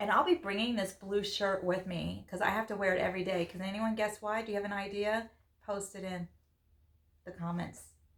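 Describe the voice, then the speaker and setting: A woman talks at a fairly quick pace with fairly even intonation over noticeable background noise. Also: medium pitch for a woman. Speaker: podcast co-host. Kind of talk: casual chat. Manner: loud; preachy.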